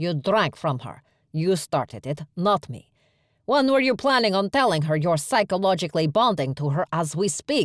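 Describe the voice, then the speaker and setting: A put-on character voice growls in an angry tone at a middle pitch and a moderate pace. The recording is very clean, with a silent background. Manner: growling, low and angry.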